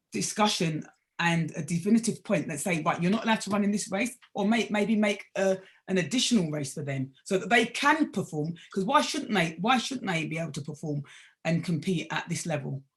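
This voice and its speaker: An animated woman talks at a fairly quick pace, her somewhat breathy voice full of lively intonation. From UK. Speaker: sprint coach and former international athlete. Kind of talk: panel discussion. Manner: animated, repetitive stammering starts.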